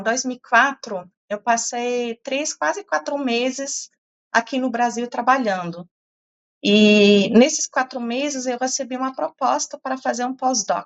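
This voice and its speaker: A woman speaks at a fairly slow pace with a slight non-native accent. Her pitch is high. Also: ordinary pitch variation. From Portugal (German family). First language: German (speaking Portuguese). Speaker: professor. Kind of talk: interview. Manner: hesitant, many fillers.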